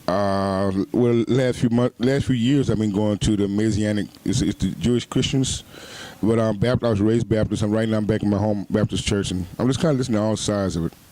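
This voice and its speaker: Speaking at a fairly quick pace, a man with an American accent has a dark, mellow tone, fairly low pitch, fairly even intonation and very even loudness. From Houston, Texas. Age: 30s. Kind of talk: interview answer. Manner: casual, conversational.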